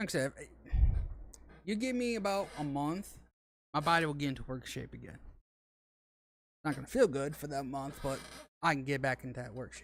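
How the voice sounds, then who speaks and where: With lively intonation and big swings in loudness, a man talks fairly quickly at a fairly high pitch, leaving long, frequent pauses. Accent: Southern US. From Arkansas. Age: 30s. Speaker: gaming streamer. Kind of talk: casual chat. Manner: halting.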